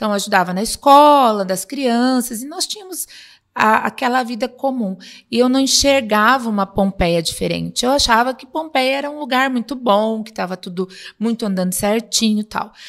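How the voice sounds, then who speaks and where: This woman has a plain, everyday voice pitched fairly high. Her pitch varies in an ordinary way while her loudness swings widely. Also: moderate pace. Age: 50s. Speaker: city councillor and psychologist. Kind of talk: casual interview.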